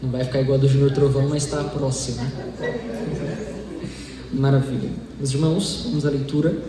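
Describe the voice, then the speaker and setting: Amid noticeable background noise and audible room echo, a man with a fairly high pitch talks at a fairly slow pace with ordinary pitch variation. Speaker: lay preacher. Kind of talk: sermon. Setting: church service with microphone.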